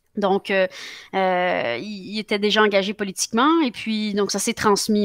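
A woman's medium-pitched voice at a moderate pace, with ordinary pitch variation, a dry sound with no echo and a quiet background. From Quebec. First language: Spanish (speaking French). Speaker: politician; politician interviewee. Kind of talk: interview. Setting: live broadcast. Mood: calm, friendly. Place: home room. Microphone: headset.

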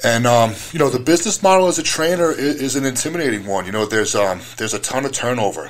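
An American man speaks very fast at a medium pitch, his intonation lively. Noticeable background noise runs behind him. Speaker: strongman and gym owner. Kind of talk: casual chat. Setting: studio.

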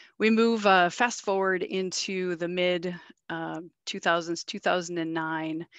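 A woman talks at a fairly slow pace in a fairly low pitch, her tone clear and smooth, with little pitch movement and a dry, close sound with no echo.

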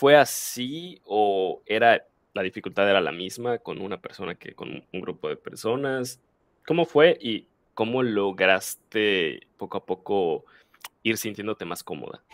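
A man's plain, everyday voice, fairly low and at a fairly slow pace, with lively intonation and big swings in loudness, in a dry sound with no echo over a quiet background. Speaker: podcast host and Spanish teacher. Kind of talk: interview. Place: home room. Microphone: headset.

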